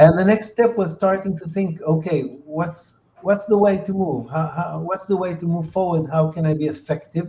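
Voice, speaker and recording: This man's pitch is high and his pace moderate. His intonation stays fairly even. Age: 60s. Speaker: entrepreneur and peace activist. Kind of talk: interview. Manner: halting, many fillers.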